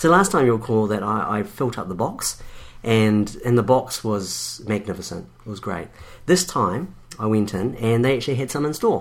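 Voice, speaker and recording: In a New Zealand accent, a man speaks at a moderate pace in a medium pitch, his intonation lively. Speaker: podcast co-host. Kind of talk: casual chat.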